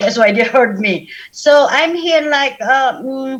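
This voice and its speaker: A woman speaks loudly and at a fairly slow pace in a high pitch, with a Sabah accent. Her intonation is lively. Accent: Malaysian (Sabah) English. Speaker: women's business advocate, panel speaker. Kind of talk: panel discussion talk.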